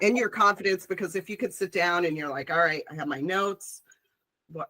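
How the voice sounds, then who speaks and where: A woman with a fairly low pitch and a bright, sharp tone sounds animated, speaking at a fairly quick pace with ordinary pitch variation. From Chicago, US Midwest. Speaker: public speaker, industry professional. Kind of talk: casual chat.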